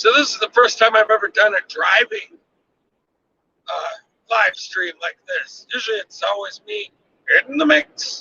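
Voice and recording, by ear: At a fairly slow pace, a man speaks high in pitch with big pitch swings, a bright, sharp tone and a slightly husky edge. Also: dry, close sound with no echo.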